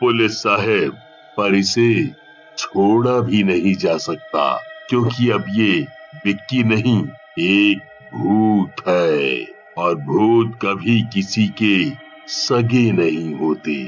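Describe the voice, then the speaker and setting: A man does a cartoonish character voice, fairly low in pitch, with a calm tone and lively intonation at a very slow pace. His loudness stays very even over clear background music. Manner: calm, weighty.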